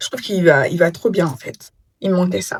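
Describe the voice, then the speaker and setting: The sound is dry and close, with no echo, as a woman talks. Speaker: travel vlogger. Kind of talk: casual vlog talk to camera. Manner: hesitant, many fillers.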